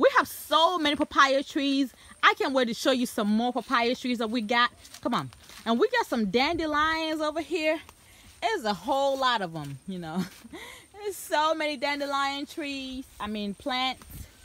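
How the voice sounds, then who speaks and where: A woman speaks in a raised, projected voice at a moderate pace with lively intonation. Her loudness swings widely, and the sound is dry with no echo. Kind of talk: casual vlog chat. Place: farm machine. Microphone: phone near.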